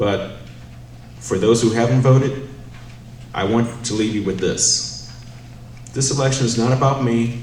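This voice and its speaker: Amid noticeable background noise and audible room echo, a man talks at a moderate pace with a fairly low pitch. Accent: northern US. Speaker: city council candidate. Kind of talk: campaign closing statement.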